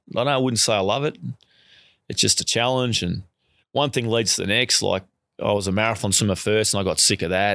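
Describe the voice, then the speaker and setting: In a very clean recording with a silent background, a man with an Australian accent and a bright, sharp tone speaks at a fairly low pitch and a fairly quick pace, with ordinary pitch variation, very even loudness and long, frequent pauses. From Australia (Melbourne). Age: 40s. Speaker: marathon swimmer and swim coach. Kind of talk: interview. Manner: casual with frequent laughs.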